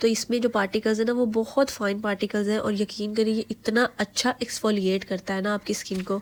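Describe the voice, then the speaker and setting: A woman speaks at a moderate pace with a fairly high pitch and hardly any pauses. Her intonation is monotone and flat. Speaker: beauty vlogger. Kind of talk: product review vlog.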